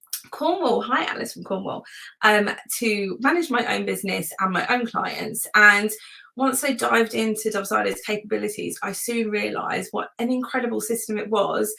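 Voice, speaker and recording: A woman with a British accent speaks at a moderate pace in a fairly high pitch with ordinary pitch variation. Her tone is bright and sharp, with vocal fry. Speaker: webinar presenter, virtual assistant and systems consultant. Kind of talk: webinar presentation. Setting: live webinar. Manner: enthusiastic, lots of filler words.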